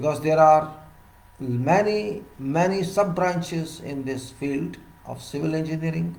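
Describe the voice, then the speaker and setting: A man at a fairly slow pace and fairly high pitch, with ordinary pitch variation and audible room echo. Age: 60s. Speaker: civil engineer giving professional talks. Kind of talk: solo lecture.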